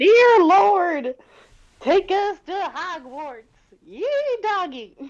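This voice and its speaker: An extremely high, put-on character voice speaks at a very slow pace. Long pauses come often. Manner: booming, exclaiming.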